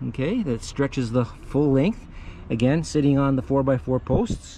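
A man speaks with a dry sound that has no echo. There is light background noise. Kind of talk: tutorial. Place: garden. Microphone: phone near.

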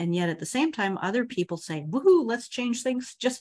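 With very wide pitch swings, a woman speaks at a moderate pace in a somewhat breathy voice. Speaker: emotional intelligence coach and trainer. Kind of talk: webinar presentation. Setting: online webinar.

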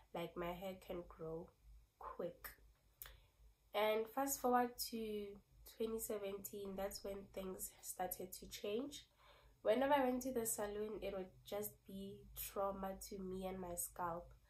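The speaker sounds somewhat breathy, with ordinary pitch variation and long, frequent pauses. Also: woman, medium pitch for a woman, fairly slow pace. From South Africa. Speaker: beauty vlogger. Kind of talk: casual vlog talk.

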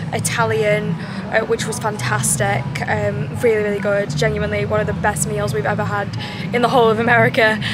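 Music plays behind a woman who talks at a fairly quick pace. The sound is dry with no echo. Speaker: travel vlogger. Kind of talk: casual vlog chat. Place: street. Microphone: phone near.

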